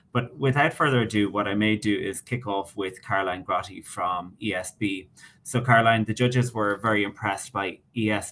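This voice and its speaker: In an Irish accent, a man talks at a fairly quick pace. His voice is fairly low, with fairly even intonation. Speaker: webinar moderator. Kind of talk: panel moderation. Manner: fast.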